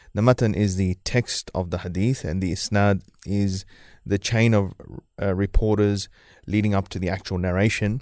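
A man with a New Zealand accent speaks at a fairly low pitch and a moderate pace, his intonation fairly even, against a quiet background. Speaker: Islamic scholar. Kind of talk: interview discussion on Islamic topics. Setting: live radio studio.

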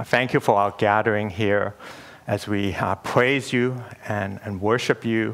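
An unremarkable speaking voice from a man, fairly low in pitch, at a fairly slow pace with fairly even intonation. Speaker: church elder and preacher. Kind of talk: sermon. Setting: church.

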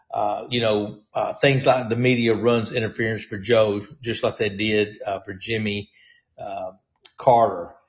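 Monotone, flat delivery from a somewhat breathy man of medium pitch at a fairly slow pace. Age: 60s. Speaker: fill-in talk radio host, former state legislator. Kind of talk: political talk monologue.

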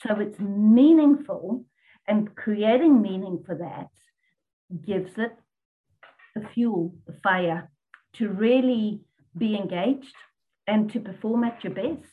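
A woman talks at a very slow pace with long, frequent pauses and big swings in loudness. Her voice is somewhat breathy and fairly high, with ordinary pitch variation. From Zimbabwe, English parents. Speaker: business coach. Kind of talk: casual interview. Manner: repeats words, hesitant.

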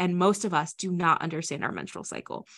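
With an American accent, the speaker talks at a fairly quick pace. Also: woman. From US Midwest, Iowa. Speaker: entrepreneur and author. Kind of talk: podcast interview.

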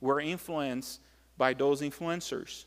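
Speaking at a fairly slow pace, a man talks in a Brazilian accent. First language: Portuguese. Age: 40s. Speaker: pastor. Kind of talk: sermon. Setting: church. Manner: halting, with filler words.

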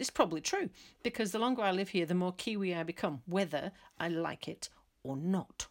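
Speaking at a fairly quick pace, a woman with an English accent uses lively intonation at a medium pitch. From England. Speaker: podcaster. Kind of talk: personal vlog monologue.

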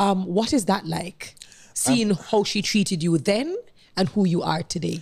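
On a very clean recording with a silent background, a woman speaks at a medium pitch and a moderate pace, with ordinary pitch variation and vocal fry. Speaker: podcast host. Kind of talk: interview podcast.

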